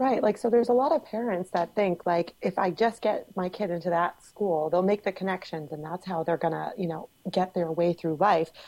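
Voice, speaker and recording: With a dark, mellow tone and hardly any pauses, a woman speaks in a very clean recording with a silent background. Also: medium pitch for a woman, ordinary pitch variation, fairly quick pace. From Cape Cod, Massachusetts. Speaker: guest. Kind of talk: casual podcast discussion.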